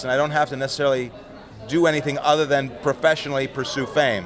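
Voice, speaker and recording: There is noticeable background noise. Over it, a man speaks with ordinary pitch variation. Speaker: interviewee. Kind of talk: interview answer. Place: hall. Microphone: handheld.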